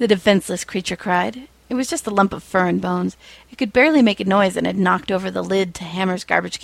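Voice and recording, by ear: Reading aloud in a natural voice, the pitch shifting by an ordinary amount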